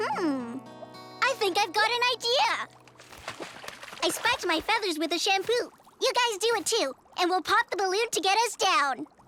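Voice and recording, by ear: At a moderate pace, a cartoonish character voice with an extremely high pitch speaks between long, frequent pauses while faint music plays in the background.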